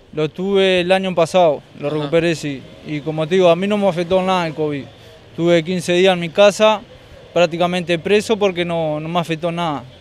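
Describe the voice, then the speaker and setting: With a Uruguayan accent, a man speaks in a high pitch and fairly even intonation. The sound is dry, with no echo. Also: fairly quick pace. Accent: Rioplatense Spanish (Uruguay). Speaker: hot dog street vendor. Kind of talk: street interview. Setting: outdoors, street. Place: street. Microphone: handheld.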